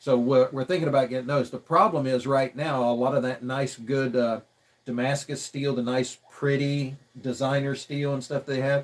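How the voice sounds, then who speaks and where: A man with an American accent and a medium pitch talks at a moderate pace with monotone, flat intonation. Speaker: custom vehicle builder. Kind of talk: casual chat. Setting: livestream. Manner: halting.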